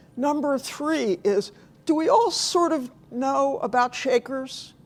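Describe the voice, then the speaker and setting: There is noticeable background noise behind this woman. Her pitch variation is ordinary. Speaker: novelist and journalist giving a talk. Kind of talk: lecture. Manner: reads from a script.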